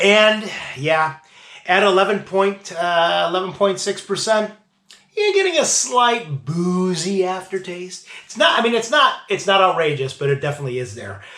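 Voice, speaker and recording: A man speaks at a moderate pace in a high voice, raised and projected. His intonation is lively. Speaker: beer reviewer, show host. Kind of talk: casual tasting review. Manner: hesitant, with fillers.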